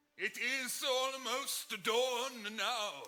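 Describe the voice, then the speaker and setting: A man puts on a character voice and pushes his pitch extremely high. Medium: stage play.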